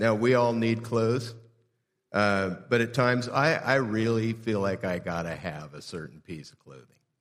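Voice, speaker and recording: A man with an American accent speaks at a moderate pace in a medium pitch, his pitch moving in an ordinary way, with audible echo in the room. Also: big swings in loudness. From Southern California (Southeast LA). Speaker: pastor. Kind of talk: sermon. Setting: church.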